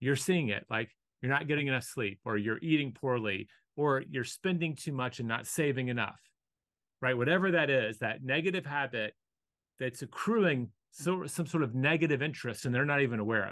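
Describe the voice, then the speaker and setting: Against a quiet background, a man talks at a moderate pace and medium pitch with ordinary pitch variation. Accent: American. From US South. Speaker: author and business speaker. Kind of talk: casual interview. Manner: calm, thoughtful.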